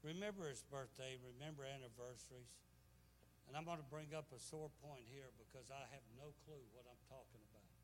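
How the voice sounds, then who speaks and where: A man with a medium pitch talks at a fairly quick pace, his voice somewhat breathy and his loudness swinging widely. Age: 70s. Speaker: guest preacher. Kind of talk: sermon. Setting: church. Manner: animated.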